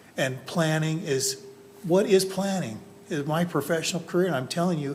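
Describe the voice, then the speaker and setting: Amid noticeable background noise and audible room echo, a man talks at a moderate pace and a fairly high pitch with ordinary pitch variation. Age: 60s. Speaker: planning commissioner. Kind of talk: public meeting deliberation.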